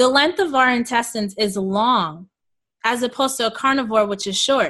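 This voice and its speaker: In a New York accent, a woman talks at a moderate pace and a fairly high pitch, her tone bright and sharp with ordinary pitch variation, over a quiet background. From Queens, New York, to Jamaican parents. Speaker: holistic health coach and raw food advocate. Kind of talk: interview.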